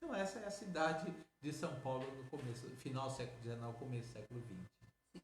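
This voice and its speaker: This man has a plain, everyday voice at medium pitch. He talks at a fairly quick pace with lively intonation. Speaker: interviewed researcher on Afro-Brazilian history. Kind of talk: interview answer.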